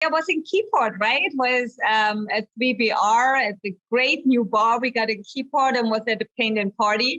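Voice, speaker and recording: In a German accent, a woman speaks at a high pitch with a bright, sharp tone, very even loudness and hardly any pauses, in a dry, close sound with no echo. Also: ordinary pitch variation, moderate pace. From Germany, Hamburg. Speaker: visual artist. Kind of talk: interview.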